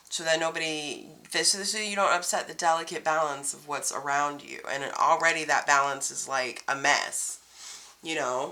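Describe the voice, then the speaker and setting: The woman keeps a moderate tempo while noticeable background noise runs underneath. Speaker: tarot reader. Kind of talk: tarot reading.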